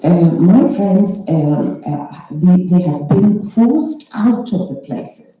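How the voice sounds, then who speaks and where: Her pitch moves through very wide swings. The speaker is a woman. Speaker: novelist. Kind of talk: panel discussion. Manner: halting, many fillers.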